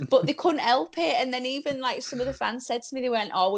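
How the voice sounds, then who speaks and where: This woman speaks with a Yorkshire accent, her high pitch showing ordinary variation. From Yorkshire, England. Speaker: professional wrestler. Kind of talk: podcast interview. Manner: animated storytelling.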